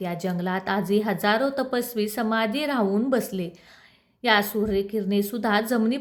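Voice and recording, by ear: Reading aloud in a natural voice, pitch moving in an ordinary way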